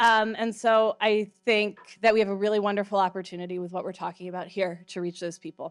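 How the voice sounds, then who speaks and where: In a very clean recording with a silent background, a woman with a normal speaking voice talks at a fairly quick pace with a fairly high pitch and fairly even intonation. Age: 30s. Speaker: conference producer, former local TV news producer. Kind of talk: conference talk. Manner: casual, with many fillers.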